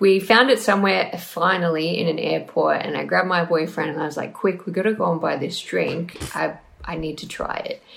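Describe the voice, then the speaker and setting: A woman with an Australian accent, fairly quick and with hardly any pauses, over noticeable background noise. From Australia, Newcastle NSW. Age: 20s. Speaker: listener submitting a question. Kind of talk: recorded listener question.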